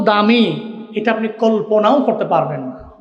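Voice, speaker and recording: With a passionate tone and a high pitch, a man speaks over noticeable background noise. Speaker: Islamic preacher and Quran reciter (qari). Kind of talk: Islamic sermon (waz) delivered to an audience. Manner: passionate, emphatic, preaching style.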